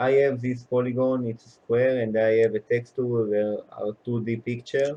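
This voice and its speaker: Here a man speaks at medium pitch and a moderate pace, with hardly any pauses. His tone is dark and mellow, his intonation monotone and flat. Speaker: programming tutor. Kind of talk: tutorial. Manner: halting, many fillers.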